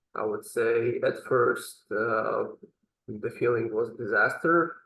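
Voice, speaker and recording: A man is speaking. He has a non-native accent. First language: not English. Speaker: language student. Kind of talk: interview. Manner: halting.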